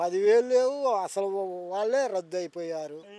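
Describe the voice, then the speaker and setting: The man's voice sits at a high pitch. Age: old. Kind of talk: street interview answer.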